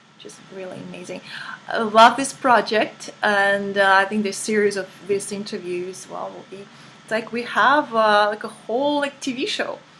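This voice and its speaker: This voice has a Russian accent. Its loudness swings widely. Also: woman, medium pitch for a woman, ordinary pitch variation, moderate pace. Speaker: life coach. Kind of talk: interview. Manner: halting.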